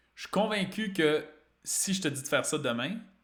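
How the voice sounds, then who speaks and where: Speaking in a Quebec accent, a man uses lively intonation. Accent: Québécois French. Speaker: fitness and weight-loss coach. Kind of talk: live-streamed talk to an online group.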